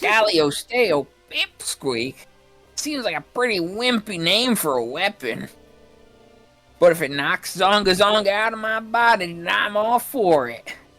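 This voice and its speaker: A put-on character voice, fairly high in pitch, with faint music in the background. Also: fairly slow pace. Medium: game stream.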